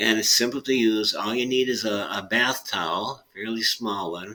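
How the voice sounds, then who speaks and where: Against noticeable background noise, the talking goes at a moderate pace. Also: man. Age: 70s. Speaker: chiropractor. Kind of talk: interview explanation. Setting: podcast interview.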